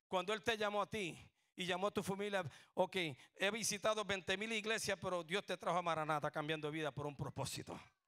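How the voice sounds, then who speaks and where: A man's raised, projected voice, high-pitched, bright and sharp in tone, animated, at a fairly quick pace on a very clean recording with a silent background. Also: ordinary pitch variation, dry, close sound with no echo. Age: 60s. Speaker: pastor. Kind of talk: sermon. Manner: animated, call-and-response.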